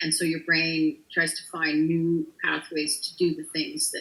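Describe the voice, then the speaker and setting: A woman is speaking. Her pace is fairly slow. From Canada. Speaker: country music singer. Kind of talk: interview. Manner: voice sometimes sticks when overloaded.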